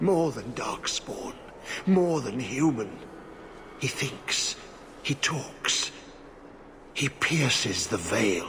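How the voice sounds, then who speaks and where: Using a put-on character voice at medium pitch, a man talks at a very slow pace with long, frequent pauses over clear background noise. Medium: video game. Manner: cryptic, halting.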